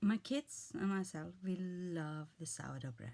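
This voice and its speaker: A somewhat breathy, medium-pitched woman's voice with an Icelandic accent, fairly slow pace, and very wide pitch swings. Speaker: vlogger. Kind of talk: casual monologue. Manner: halting.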